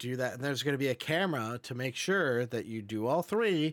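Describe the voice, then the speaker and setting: In a very clean recording with a silent background, a man talks at a moderate pace in an ordinary speaking voice. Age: 30s. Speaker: podcast co-host. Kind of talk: casual chat.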